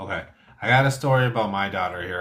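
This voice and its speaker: A man speaks at a medium pitch with ordinary pitch variation. He has an unremarkable speaking voice. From born in Thailand, raised in US from age one. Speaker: stream host. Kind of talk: casual chat.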